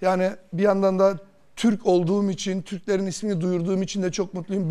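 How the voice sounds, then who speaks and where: At a moderate pace, a man speaks in a high voice with a dark, mellow tone. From Germany, Turkish emigrant from Kırşehir; Germany. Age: 40s. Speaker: lottery winner; talk show guest. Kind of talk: TV interview, personal story. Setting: TV studio. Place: studio. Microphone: lapel.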